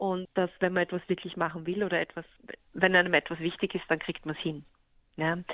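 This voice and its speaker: A woman speaks with a fairly low pitch and monotone, flat intonation. Her pace is fairly quick. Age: 40s. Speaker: photographer. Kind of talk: interview.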